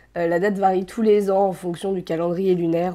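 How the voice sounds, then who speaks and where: A dark, mellow tone moves at a fairly quick pace in flat, monotone intonation. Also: woman. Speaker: YouTuber teaching Korean culture. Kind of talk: casual vlog talk. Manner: hesitant, many fillers.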